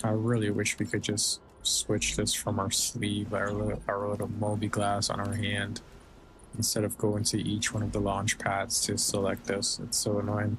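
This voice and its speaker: A man speaks with vocal fry at a fairly low pitch. His loudness is very even and his intonation monotone and flat. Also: moderate pace. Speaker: gaming streamer. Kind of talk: casual gameplay commentary. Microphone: slight robotic, humming sound on new dynamic mic.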